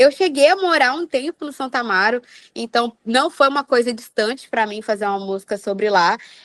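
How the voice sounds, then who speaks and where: A woman's animated, fairly high voice in a strong Mato Grosso accent, moderately paced, dry and close with no echo against a quiet background. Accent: strong Mato Grosso (Cuiabá). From Cuiabá, Mato Grosso, Brazil. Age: 20s. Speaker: singer and psychology graduate. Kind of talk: casual podcast interview.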